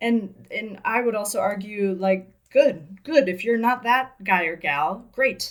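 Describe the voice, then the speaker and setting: A woman with a slight Midwestern American accent, fairly high in pitch with ordinary pitch variation, at a very slow pace with hardly any pauses. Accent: Midwest American, slight. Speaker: business coach and podcast co-host. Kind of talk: casual podcast conversation.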